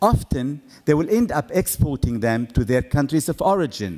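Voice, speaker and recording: A man with a slight non-native accent speaks at a moderate pace. His fairly high voice moves in very wide pitch swings. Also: very clean recording, silent background. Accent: slight foreign. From Middle East. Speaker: awards founder. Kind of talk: formal speech. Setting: stage with audience. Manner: formal.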